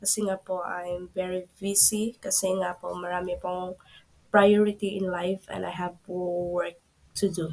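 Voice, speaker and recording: A woman's medium-pitched voice at a very slow pace, monotone with flat intonation. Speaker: tech tutorial YouTuber. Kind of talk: screen-recorded tutorial. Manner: polite, halting with fillers.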